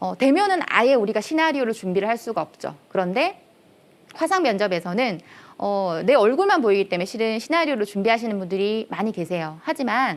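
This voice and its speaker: Loud and fairly quick, a woman talks at a fairly high pitch with very wide pitch swings. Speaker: career lecturer, company head. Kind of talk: lecture.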